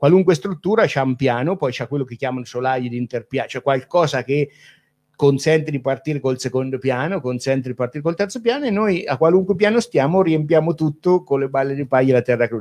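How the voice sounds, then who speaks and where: With an unremarkable speaking voice, a man talks at a fairly quick pace in a fairly high pitch with lively intonation, recorded with a dry, close sound and no echo. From Umbria, Italy. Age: 40s. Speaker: builder. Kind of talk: interview.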